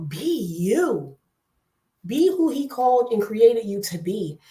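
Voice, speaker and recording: Loud and animated in tone, a woman speaks with a New Jersey accent at a high pitch. Her voice makes very wide pitch swings. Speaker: online talk show host. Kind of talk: casual chat.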